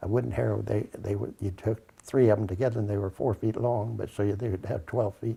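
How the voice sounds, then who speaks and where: A man's fairly low, dark, mellow voice with vocal fry, very fast pace, hardly any pauses and ordinary pitch variation. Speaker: grandfather interviewed about family memories. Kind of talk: oral history interview. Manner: halting.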